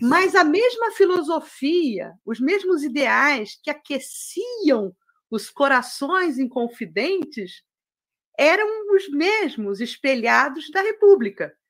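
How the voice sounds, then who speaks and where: A woman with a high pitch speaks at a very slow pace over a quiet background. Her pitch swings very widely. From Brazil. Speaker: spiritist study facilitator. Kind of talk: lecture. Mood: warm, smiling. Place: home room. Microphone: webcam.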